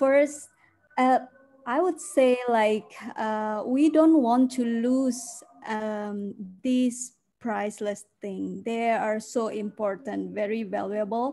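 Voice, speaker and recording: Very slowly, a woman speaks in a dark, mellow tone. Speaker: guest. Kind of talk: interview answer. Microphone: video call.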